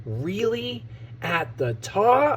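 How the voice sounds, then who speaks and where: Someone uses a put-on character voice over clear background noise. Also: man. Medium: read story. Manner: confident, cheeky.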